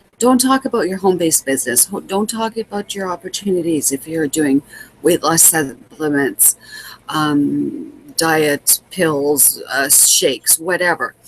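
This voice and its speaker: A woman with a Canadian accent speaks fairly slowly at a fairly low pitch with lively intonation, the sound dry and close with no echo but with noticeable background noise. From Manitoba, Canada. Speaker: home business coach. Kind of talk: vlog tutorial. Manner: halting, repeats words.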